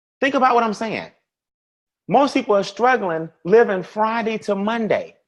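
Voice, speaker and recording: A man with an American accent speaks in a high pitch and an animated tone, with ordinary pitch variation. The background is quiet. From US South. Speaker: financial educator. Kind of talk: webinar presentation. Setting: online webinar. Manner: fast.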